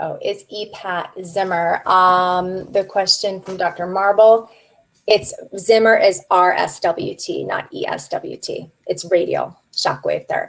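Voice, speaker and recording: A woman talks at a fairly slow pace, her loudness swinging widely. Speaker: practice management consultant; guest. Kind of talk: webinar Q and A. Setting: online webinar. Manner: animated. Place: home room.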